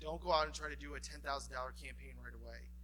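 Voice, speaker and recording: In a room with audible echo, a man with an American accent talks very fast in a very deep, low voice that has a bright, sharp tone. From Ohio, Cleveland. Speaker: fundraising professional presenting a workshop. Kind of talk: conference workshop presentation.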